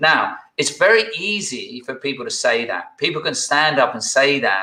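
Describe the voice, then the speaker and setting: A man speaks at a moderate pace. He has a British accent. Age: 60s. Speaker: executive coach. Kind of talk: interview conversation.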